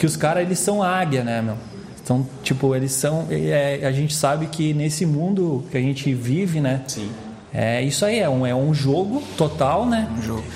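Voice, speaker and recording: Through audible room echo and noticeable background noise, a man speaks at a fairly high pitch. His pace is moderate, with ordinary pitch variation. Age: 20s. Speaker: entrepreneur. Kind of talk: casual chat.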